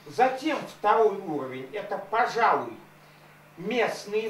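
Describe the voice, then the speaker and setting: A man speaks in a high voice at a fairly slow pace, his pitch swinging very widely, with light background noise and audible room echo. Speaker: activist. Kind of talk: speech at public hearing. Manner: formal. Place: meeting room.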